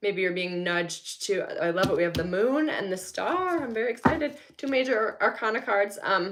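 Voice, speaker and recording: Her pitch fairly high and swinging very widely, a woman talks at a moderate pace with hardly any pauses. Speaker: tarot reader. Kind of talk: live tarot reading. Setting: home, no studio. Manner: soft-spoken.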